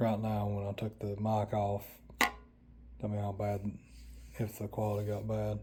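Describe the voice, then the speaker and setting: A man with an Appalachian accent speaks at a moderate pace and fairly low pitch, with long, frequent pauses. His intonation is monotone and flat. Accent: Appalachian Southern. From Western North Carolina, Appalachia. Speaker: vlogger. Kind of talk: casual vlog monologue. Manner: halting, many fillers. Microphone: lapel mic removed, built-in camera mic.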